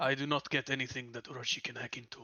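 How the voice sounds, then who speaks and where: A man's put-on character voice at a very fast pace. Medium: actual play. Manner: formal, clipped.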